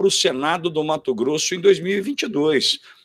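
A man's intonation is lively, set against a quiet background. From Brazil. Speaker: co-commentator. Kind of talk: political commentary. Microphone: video call.

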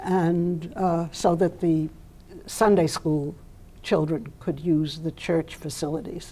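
At a very slow pace, a woman with a dark, mellow tone and fairly low pitch speaks with fairly even intonation. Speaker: interview guest. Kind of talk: interview answer. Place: studio. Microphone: lapel.

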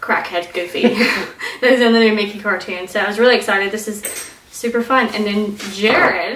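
Amid light background noise and audible room echo, a woman talks at a fairly quick pace with fairly even intonation. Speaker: co-host of a family vlog. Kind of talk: casual haul chat. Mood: cheerful, laughing. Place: home room. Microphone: camera far.

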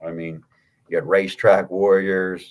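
A man with an American accent talks at a moderate pace in a very deep, low pitch. His intonation stays monotone and flat over a quiet background. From Pittsburgh, Pennsylvania. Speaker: horse racing handicapper; podcast guest. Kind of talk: casual chat. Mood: relaxed, chatty. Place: home room. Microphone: studio mic.

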